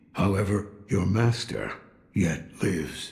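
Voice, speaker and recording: A put-on character voice comes through raspy, at a fairly slow pace. Its pitch varies in an ordinary way. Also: man, fairly low pitch for a man. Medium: video game. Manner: gruff, cryptic.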